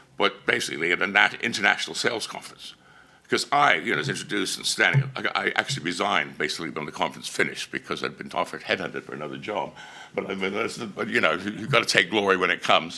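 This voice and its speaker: A man with an Australian accent talks at a very fast pace, his very deep, low pitch carried by lively intonation. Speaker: conference speaker. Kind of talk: conference presentation. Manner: loud.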